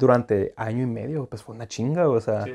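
Over a quiet background, a man with a dark, mellow tone talks at a fairly quick pace. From Mexicali, Baja California, Mexico; Baja California, Mexico. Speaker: student; interview guest. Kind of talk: casual chat. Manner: casual, halting. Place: home room. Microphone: lapel.

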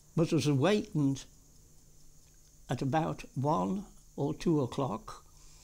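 At a very slow pace with long, frequent pauses, a man speaks at a fairly high pitch with vocal fry. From Birmingham, England. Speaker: war veteran. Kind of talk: oral history interview answer. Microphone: old recording.

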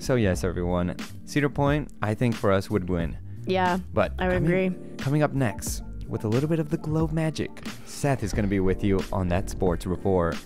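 Over clear background music, a man talks at a moderate pace in a fairly low pitch. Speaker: college radio host. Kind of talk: casual radio show chat. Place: studio. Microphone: studio mic.

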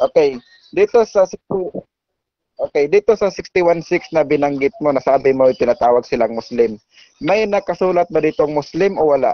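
A man's fairly high voice, an ordinary speaking voice, with lively intonation, a moderate pace and very even loudness. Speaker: debater arguing against Islam. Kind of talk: formal religious debate. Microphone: phone, switching to headset.

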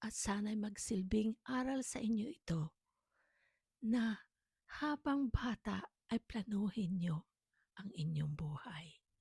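A woman with a fairly high pitch and a dark, mellow tone speaks very slowly, somewhat breathy, with lively intonation and long, frequent pauses. The sound is dry and close, with no echo. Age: 60s. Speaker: storyteller vlogger. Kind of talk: personal testimony.

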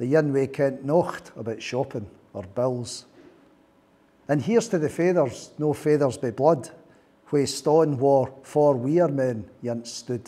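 Speaking very slowly with a Scottish accent, a man uses a fairly high pitch and ordinary pitch variation. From Scotland. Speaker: poet. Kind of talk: poetry reading. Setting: live workshop audience. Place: meeting room. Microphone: lapel.

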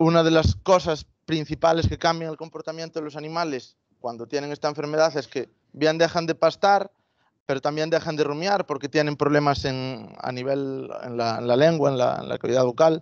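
A man speaks at a moderate pace with a Galician accent and ordinary pitch variation, his voice dry with no echo against a quiet background. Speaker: veterinarian and agritech founder; presenter. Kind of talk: product presentation. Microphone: video call.

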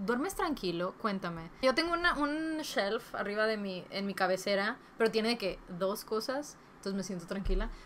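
With hardly any pauses, a woman keeps a moderate pace and lively intonation over light background noise. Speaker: book YouTuber. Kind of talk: casual vlog giving advice. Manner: Spanglish code-switching. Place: home room.

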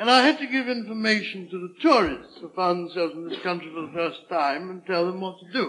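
A man's high-pitched voice with lively intonation. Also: fairly quick pace, hardly any pauses, big swings in loudness. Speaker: comedian. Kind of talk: comedic monologue.

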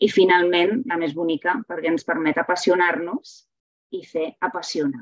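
A woman with a fairly low voice speaks at a fairly slow pace with ordinary pitch variation, the sound dry with no echo and the background quiet. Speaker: literature teacher and reading promoter. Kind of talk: webinar lecture with slides. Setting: video call webinar. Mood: warm, enthusiastic. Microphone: webcam.

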